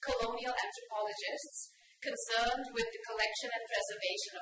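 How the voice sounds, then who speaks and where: A woman's voice carries audible room echo, with light background noise behind it. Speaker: speaker. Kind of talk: lecture. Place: hall. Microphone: podium.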